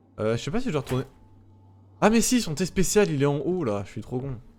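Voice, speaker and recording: A man with a medium pitch, music in the background. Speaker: gaming streamer. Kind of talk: let's play commentary. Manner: fast; stammering.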